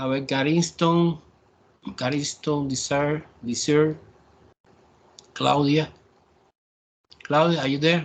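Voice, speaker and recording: A man with a Spanish accent speaks very slowly in a fairly high pitch, his intonation flat and monotone, with long, frequent pauses. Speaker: math professor. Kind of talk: online class lecture. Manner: halting.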